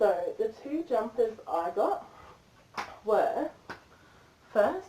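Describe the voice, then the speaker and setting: Noticeable background noise runs under this recording. A woman speaks at a fairly high pitch with very wide pitch swings. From Australia, Brisbane. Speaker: tarot reader. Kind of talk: livestream tarot reading. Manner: casual, rambling chatty.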